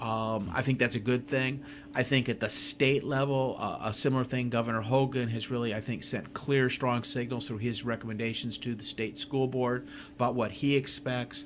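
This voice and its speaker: This man has an ordinary speaking voice, medium in pitch, with fairly even intonation at a moderate pace. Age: 60s. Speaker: school superintendent. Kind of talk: radio interview.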